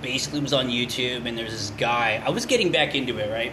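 Recorded with audible room echo and noticeable background noise, a man talks with an American accent and ordinary pitch variation. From California. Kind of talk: casual chat. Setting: studio. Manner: halting, many fillers.

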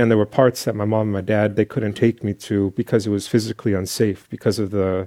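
This man speaks with an American accent at a fairly quick pace, in a fairly low pitch with monotone, flat intonation. His tone is dark and mellow, and the sound is dry and close with no echo. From East Bay, California. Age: 30s. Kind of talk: panel talk.

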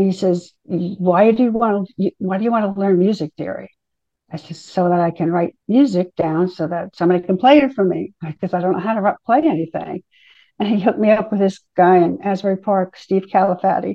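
A woman speaks in a normal speaking voice at a medium pitch, with an American accent. Her pace is fairly quick and her pitch variation ordinary. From New Jersey. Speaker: songwriter. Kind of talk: interview.

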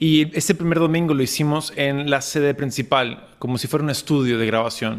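Speaking at a moderate pace with hardly any pauses, a man with an unremarkable speaking voice uses a fairly high pitch and ordinary pitch variation. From Lima, Peru. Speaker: pastor. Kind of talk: interview. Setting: video call.

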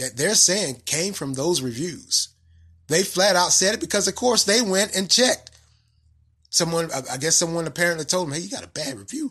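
With a Southern US accent, a man talks at a fairly quick pace in a high, bright, sharp voice that swings very widely in pitch. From North Carolina, US South. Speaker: podcast host. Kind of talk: solo commentary podcast monologue. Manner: casual, conversational, with filler words.

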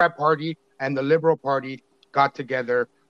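Speaking at a fairly quick pace, a man with an ordinary speaking voice keeps his intonation fairly even. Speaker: TikTok creator. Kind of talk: casual chat. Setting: video call.

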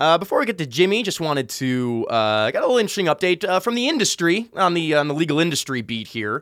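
A man speaks at a very fast pace in a high voice, with very wide pitch swings and hardly any pauses, on a very clean recording with a silent background. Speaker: podcast co-host. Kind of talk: casual banter and interview. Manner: loud, excitable.

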